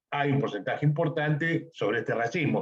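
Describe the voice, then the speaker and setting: The man's voice comes across as somewhat breathy. His pitch varies in an ordinary way. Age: 60s. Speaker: podcast host. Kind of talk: interview conversation.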